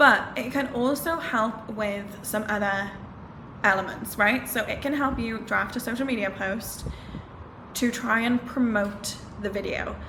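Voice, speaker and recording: With an animated tone, a woman speaks fairly slowly at a fairly high pitch with ordinary pitch variation. Noticeable background noise and audible room echo are present. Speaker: social media manager and YouTuber. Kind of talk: tutorial. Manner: casual, animated.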